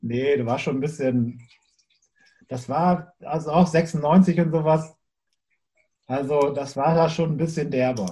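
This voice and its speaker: A man's somewhat breathy, dark, mellow voice, fairly high-pitched, at a very slow pace with ordinary pitch variation and long, frequent pauses. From Bremen, northern Germany. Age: 40s. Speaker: music booker and former punk drummer. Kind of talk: casual interview.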